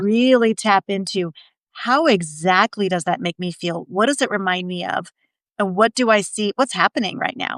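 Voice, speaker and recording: Heard dry and close with no echo, a woman talks at a moderate pace with ordinary pitch variation in an unremarkable speaking voice. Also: medium pitch for a woman. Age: 50s. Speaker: podcast co-host. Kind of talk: podcast conversation.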